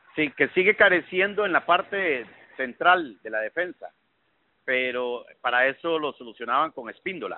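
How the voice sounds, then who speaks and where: A man speaks at a fairly high pitch with lively intonation. His pace is moderate, and his loudness swings widely. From Costa Rica. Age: 50s. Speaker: football commentator. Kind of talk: interview. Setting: phone call. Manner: halting.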